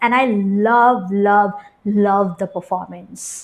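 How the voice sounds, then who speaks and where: A woman talks at a fairly slow pace. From India. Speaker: beauty vlogger. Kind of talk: product review.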